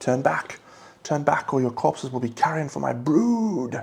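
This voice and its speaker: Putting on a character voice, a man sounds shrill at a fairly high pitch, moving at a moderate pace. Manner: menacing.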